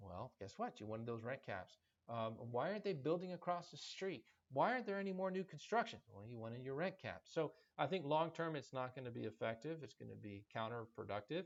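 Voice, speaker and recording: A man at a fairly quick pace, with very wide pitch swings. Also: medium pitch for a man. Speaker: podcast host and commercial real estate broker. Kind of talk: podcast monologue. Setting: office. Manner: fast.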